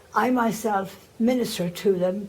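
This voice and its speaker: A somewhat breathy voice with a dark, mellow tone, fairly even intonation and an Irish accent. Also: woman. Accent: Irish, still noticeable. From Ireland. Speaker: religious sister, former teacher. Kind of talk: oral history interview.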